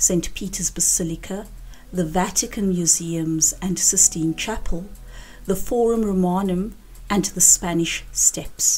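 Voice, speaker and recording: Noticeable background noise sits behind a woman speaking fairly slowly at a medium pitch with ordinary pitch variation. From South Africa, Cape Town. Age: 50s. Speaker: English teacher. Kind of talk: scripted narration.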